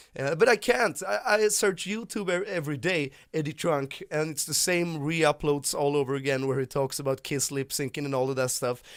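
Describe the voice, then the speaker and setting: A man with a strong Swedish accent speaks at a moderate pace and fairly high pitch, with ordinary pitch variation. The recording is very clean, with a silent background. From Sweden. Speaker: YouTuber, rock music commentator. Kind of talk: casual vlog monologue. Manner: halting, frequent repetitions and fillers.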